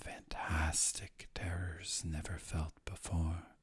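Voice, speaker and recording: A man talks at a very slow pace, somewhat breathy. His intonation is monotone and flat. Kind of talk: poetry reading.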